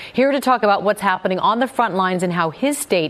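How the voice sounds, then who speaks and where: A woman speaks very fast with lively intonation. Noticeable background noise is present. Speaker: news host. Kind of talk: live TV-style news interview. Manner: polished, brisk, formal.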